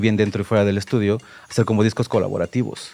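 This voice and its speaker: A man speaks with music playing in the background. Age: 40s. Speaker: music producer. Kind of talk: casual interview. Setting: radio studio. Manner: halting, many fillers.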